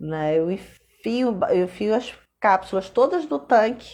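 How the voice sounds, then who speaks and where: The background is quiet. A woman speaks with very wide pitch swings. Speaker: content creator. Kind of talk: live stream talk. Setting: Instagram live.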